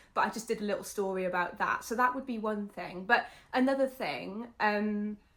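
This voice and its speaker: A Welsh accent with ordinary pitch variation. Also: woman, fairly high pitch for a woman, moderate pace. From Wales. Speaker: UGC content creator. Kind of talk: casual chat.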